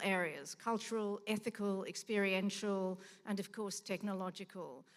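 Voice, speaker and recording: The speaker talks at a moderate pace with fairly even intonation and an Australian accent. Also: woman. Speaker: museum director. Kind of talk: conference talk. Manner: halting.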